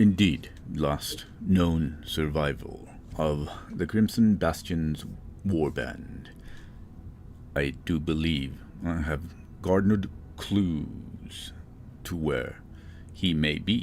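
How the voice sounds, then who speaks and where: A man puts on a character voice with a very deep, low pitch, speaking very slowly with long, frequent pauses over clear background noise. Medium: actual play. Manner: calm, measured.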